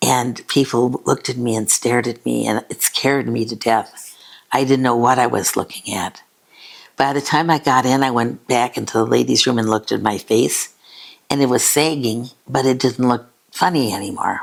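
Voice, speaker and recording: This woman's voice sits very deep and low, with vocal fry. Her pace is moderate and her intonation fairly even. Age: 80s+. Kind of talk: interview answer.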